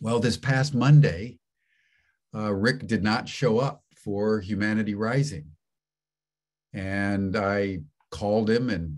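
A man with a fairly low pitch at a very slow pace, ordinary pitch variation, long, frequent pauses, and a quiet background. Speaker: webinar host. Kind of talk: speech to webinar audience. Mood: earnest, becoming somber. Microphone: video call.

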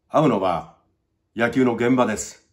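There is vocal fry in this man's voice, heard against a quiet background. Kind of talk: casual reminiscing talk to camera. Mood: fond, reflective remembrance. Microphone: phone near.

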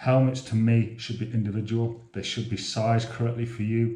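A man speaks with audible room echo. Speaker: presenter. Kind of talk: tutorial. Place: home room.

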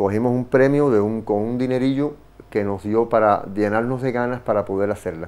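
A man with fairly even intonation at a moderate pace. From Cuba. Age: 50s. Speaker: visual artist; guest. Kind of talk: interview; interview answer. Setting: studio. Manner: halting. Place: studio. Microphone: lapel.

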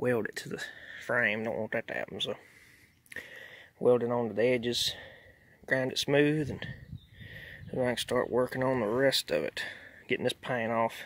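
A man at a moderate pace with fairly even intonation, long, frequent pauses and a dry sound with no echo. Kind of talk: casual project narration. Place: garden. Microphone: phone near.

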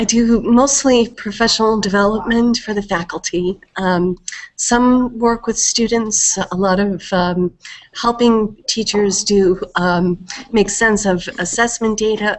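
The speaker is a woman, talking at a fairly slow pace. Her intonation is fairly even. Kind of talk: meeting self-introduction. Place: home room. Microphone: headset.

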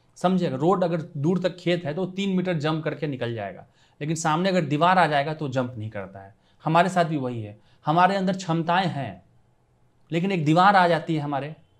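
A man speaks at a fairly high pitch with ordinary pitch variation. His loudness swings widely over a quiet background. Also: fairly slow pace. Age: 40s. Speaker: civil servant and exam coach; exam coach. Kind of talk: motivational talk. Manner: animated. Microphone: lapel.

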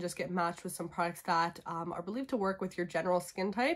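Over a quiet background, a woman speaks very fast with ordinary pitch variation. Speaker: beauty vlogger. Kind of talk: casual vlog chat. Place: home room. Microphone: phone near.

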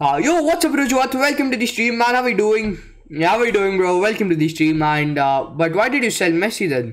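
A man talks at a fairly quick pace with hardly any pauses. His high pitch makes very wide swings. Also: very even loudness. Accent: Indian. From India. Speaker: gaming live streamer. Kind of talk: live gameplay commentary and chat with viewers. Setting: live stream. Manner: animated. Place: home room.

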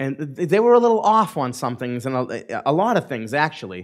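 A quiet background behind a man speaking at a moderate pace. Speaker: pastor. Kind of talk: sermon. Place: church.

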